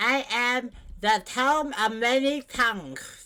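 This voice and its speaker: A put-on character voice sounds female, with a high pitch and a cheerful tone. It moves at a very slow pace. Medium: actual play. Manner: cheerful, chatty.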